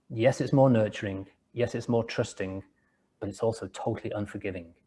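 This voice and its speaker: Speaking at a fairly quick pace with an English accent, a man has a medium-pitched, dark, mellow tone that is somewhat breathy, with fairly even intonation over a quiet background. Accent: English, still noticeable. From England, rural village after early years in Liverpool. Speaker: entrepreneur and author. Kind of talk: interview. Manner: halting, with frequent word repetitions.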